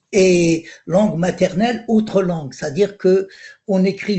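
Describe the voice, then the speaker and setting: A man's high voice in an Algerian accent, very slow, with lively intonation. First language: Algerian Arabic (speaking French). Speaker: poet. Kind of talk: panel discussion. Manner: halting, many repetitions.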